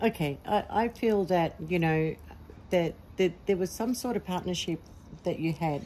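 An ordinary speaking voice at a moderate pace, with ordinary pitch variation and light background noise. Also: woman. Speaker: tarot reader. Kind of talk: tarot reading monologue. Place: garden. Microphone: phone near.

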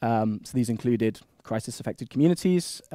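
A man with a Manchester accent and a dark, mellow tone speaks at a fairly quick pace. The sound is dry with no echo, over a quiet background. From Manchester, England. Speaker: postdoc researcher presenting at a seminar. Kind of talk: academic presentation. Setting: seminar room with microphone. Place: meeting room.

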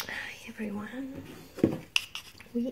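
Soft-spoken and fairly even in intonation, a woman talks over light background noise. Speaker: artist. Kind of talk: ASMR, relaxing talk to camera.

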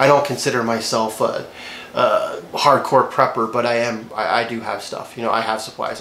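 A man speaks at a moderate pace. Audible room echo and light background noise come through. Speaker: gear vlogger. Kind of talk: casual vlog chat. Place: home room.

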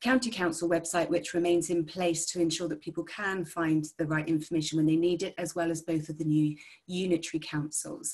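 A woman with a fairly low voice talks at a fairly quick pace, her intonation fairly even, over a quiet background. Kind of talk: press briefing. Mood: calm, serious. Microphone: video call.

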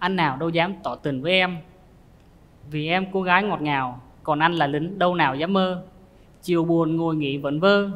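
A man with a high pitch talks at a moderate pace in a nervous tone, leaving long, frequent pauses. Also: fairly even intonation. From southern Vietnam. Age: 20s. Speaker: soldier, dating show contestant. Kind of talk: casual chat. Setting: studio. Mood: shy, slightly nervous. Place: studio.

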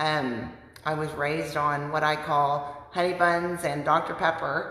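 Her voice is very deep and low, with fairly even intonation. Audible room echo surrounds this woman. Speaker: weight loss vlogger. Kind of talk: casual vlog chat, personal testimony. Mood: earnest, reflective. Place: home room. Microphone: phone near.

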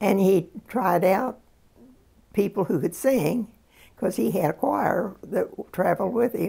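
A woman with vocal fry at a fairly slow pace against a quiet background. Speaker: interviewee. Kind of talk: interview answer. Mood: reflective, calm storytelling. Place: home room.

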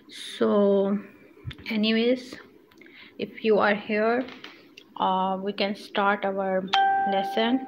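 Amid noticeable background noise, a woman talks very slowly in a monotone, flat intonation with long, frequent pauses. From Pakistan. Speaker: sewing instructor. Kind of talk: tutorial. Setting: live stream. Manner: halting, many fillers. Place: home room. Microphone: phone near.

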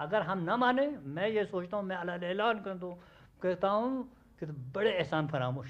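High-pitched man with lively intonation at a moderate pace. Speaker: local scholar and elder. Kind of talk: interview.

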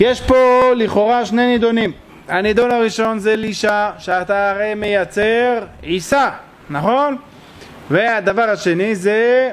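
Against light background noise, a man speaks very slowly at a high pitch with ordinary pitch variation. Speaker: religious teacher. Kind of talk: lecture. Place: hall. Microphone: podium.

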